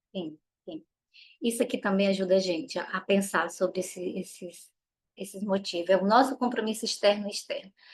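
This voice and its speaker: Somewhat breathy, a woman talks at a fairly quick pace. Her pitch variation is ordinary. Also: medium pitch for a woman. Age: 40s. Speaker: parenting educator. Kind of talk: online workshop talk.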